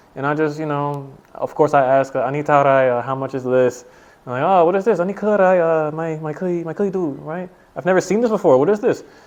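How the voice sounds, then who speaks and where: A man with an American accent and a plain, everyday voice, fairly high in pitch, at a fairly quick pace with ordinary pitch variation. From USA. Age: 20s. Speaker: English teacher. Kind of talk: casual interview.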